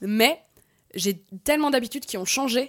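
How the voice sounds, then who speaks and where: Her intonation is lively and her pace fairly slow in an unremarkable speaking voice. The recording of this woman is very clean, with a silent background. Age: 30s. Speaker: actress and web creator. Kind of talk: casual panel discussion.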